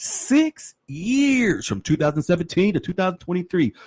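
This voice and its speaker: The tone is animated. The sound is dry and close with no echo, in a very clean recording with a silent background. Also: man. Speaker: podcast host. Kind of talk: podcast commentary reading legal document.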